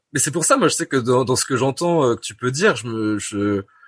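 Intonation is lively in this male voice, with a moderate pace. Behind it, the background stays quiet. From Normandy, France. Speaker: podcast guest living with schizophrenia. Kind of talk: casual interview conversation. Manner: halting, many hesitations and repetitions.

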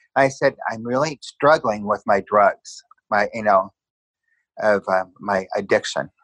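An ordinary speaking voice from a man with an American accent, medium in pitch with ordinary pitch variation, at a fairly slow pace, in a dry, close sound with no echo. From Southern California. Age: 60s. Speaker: interviewee sharing personal story. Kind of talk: testimony.

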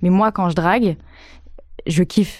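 This woman's voice has a dark, mellow tone and fairly even intonation. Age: 20s. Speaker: young interviewee. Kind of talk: casual chat.

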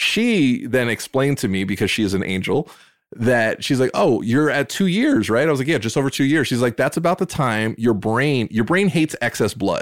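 Speaking at a medium pitch, a man holds a moderate pace. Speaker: podcast host. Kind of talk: casual chat. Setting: studio. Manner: loud.

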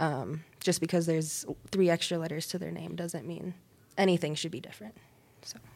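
A fairly low-pitched woman's voice in a General American accent, with vocal fry, big swings in loudness and ordinary pitch variation. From Colorado. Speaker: executive chef. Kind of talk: casual interview.

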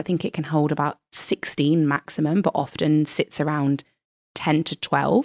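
The recording is very clean, with a silent background. The sound is dry and close, with no echo. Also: woman. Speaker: podcaster and blogger. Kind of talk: personal storytelling interview.

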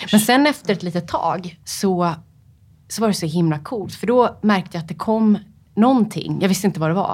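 The recording is very clean, with a silent background. A woman speaks fairly quickly at a medium pitch, somewhat breathy, with lively intonation. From Sweden, Upplands Väsby. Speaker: freediver, world record holder. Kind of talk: interview. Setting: studio. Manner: hesitant, many fillers.

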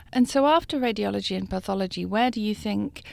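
The recording is very clean, and the background is silent. In it, a woman speaks at a fairly quick pace. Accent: British. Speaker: journalist interviewer. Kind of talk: interview.

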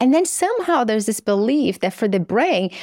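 Very wide pitch swings mark this voice with a Portuguese accent, in a very clean recording with a silent background. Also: woman, dry, close sound with no echo. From Brazil. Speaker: psychiatry professor and author. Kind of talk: interview.

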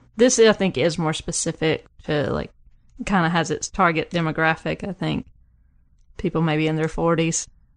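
A moderately paced voice with ordinary pitch variation, in a Southern US accent, over a quiet background. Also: woman, fairly low pitch for a woman. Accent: Southern US twang. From small southern US town. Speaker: music fan, guest. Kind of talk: casual chat.

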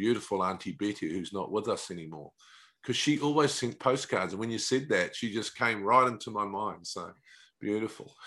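The speaker has a New Zealand accent, a bright, sharp tone and ordinary pitch variation at a moderate pace. The background is quiet. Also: man. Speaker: podcast host. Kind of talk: interview, conversational. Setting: remote call across time zones.

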